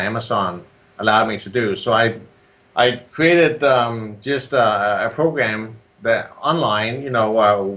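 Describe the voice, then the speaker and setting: This man speaks with a Danish accent. His pitch sits in the medium range. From Denmark. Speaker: software entrepreneur and Amazon seller. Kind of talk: interview. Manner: halting with many fillers.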